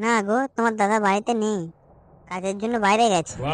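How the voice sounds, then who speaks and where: With a female-sounding voice at medium pitch, the speaker performs a cartoonish character voice at a moderate pace. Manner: sly, teasing.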